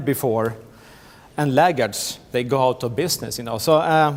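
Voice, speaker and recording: Speaking with a Swedish accent, a man has a fairly high pitch, ordinary pitch variation and a moderate pace. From Sweden. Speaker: tech company business manager. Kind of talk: conference presentation. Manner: halting, many fillers and repetitions.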